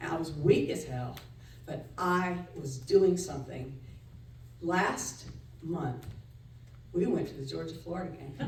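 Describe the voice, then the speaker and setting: A woman at a fairly slow pace in an animated tone, amid noticeable background noise and audible room echo. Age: 60s. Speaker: storyteller. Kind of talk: live storytelling.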